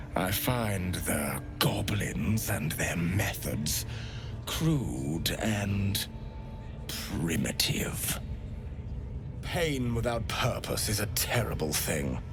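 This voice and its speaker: Amid loud background noise, a man drawls very slowly in a put-on character voice. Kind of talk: elegant, formal speech. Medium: video game. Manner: polite, silky, unsettling.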